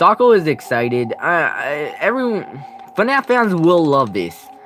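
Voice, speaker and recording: Over music in the background, a man with a high pitch speaks at a fairly slow pace with very wide pitch swings. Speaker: gaming youtuber. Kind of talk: live stream commentary. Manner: halting, many restarts.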